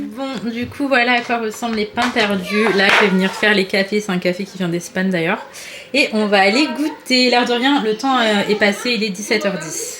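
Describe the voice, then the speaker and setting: A woman with a fairly high pitch talks at a moderate pace with ordinary pitch variation over noticeable background noise. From Paris, France. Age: 20s. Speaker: family vlogger, stay-at-home mom. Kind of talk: casual vlog talk to camera. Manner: soft-spoken.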